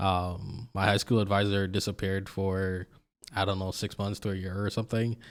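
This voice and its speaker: Very clean and recorded against a silent background, a man's fairly low-pitched voice moves at a moderate pace with monotone, flat intonation. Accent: American. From Jamaica. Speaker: interview guest. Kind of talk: casual interview.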